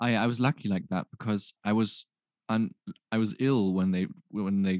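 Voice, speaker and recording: A man with an ordinary speaking voice talks at a fairly low pitch and moderate pace, his intonation fairly even. The recording is very clean with a silent background, dry and close with no echo. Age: 20s. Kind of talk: casual chat.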